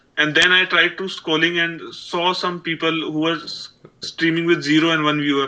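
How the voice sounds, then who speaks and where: Flat and monotone in intonation, a man with a strong Indian accent talks at a high pitch and moderate pace. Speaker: aspiring streamer. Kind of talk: casual chat. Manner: halting.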